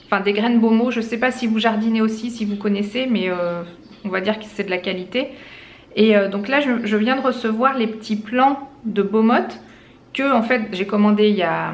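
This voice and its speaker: Audible room echo surrounds a woman with a fairly high pitch. She keeps a moderate pace and a fairly even intonation. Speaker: lifestyle vlogger. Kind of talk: casual vlog. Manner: hesitant, many fillers.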